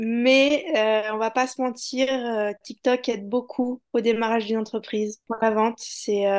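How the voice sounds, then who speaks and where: A woman with a high pitch talks at a fairly slow pace in a monotone, flat intonation. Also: dry, close sound with no echo, quiet background. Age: 20s. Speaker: digital marketing manager and ad buyer. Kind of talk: podcast interview. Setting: video-recorded interview.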